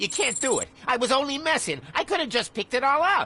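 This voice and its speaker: The speaker uses a put-on character voice pitched high. The pace is fairly quick. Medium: video game. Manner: crude, sneering.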